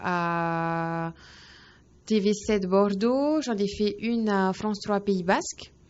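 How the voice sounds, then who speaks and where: Here a woman speaks at a very slow pace. Her pitch is medium. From French Polynesia, Faa'a (Tahiti). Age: 20s. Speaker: young journalist. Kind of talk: interview. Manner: hesitant, many fillers.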